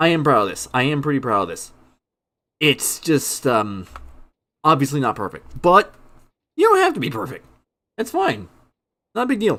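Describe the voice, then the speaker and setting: With vocal fry and a bright, sharp tone, a man speaks at a fairly high pitch and a moderate pace. His pitch swings very widely, and his pauses are long and frequent. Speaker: gaming streamer. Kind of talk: live stream commentary. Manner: casual.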